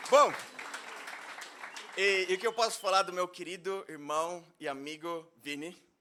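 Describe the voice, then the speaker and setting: Amid crowd noise in the background, a man with a high pitch speaks at a fairly slow pace with long, frequent pauses, big swings in loudness and ordinary pitch variation. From Brazil, interior of São Paulo state. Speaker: minister. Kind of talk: sermon. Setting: church.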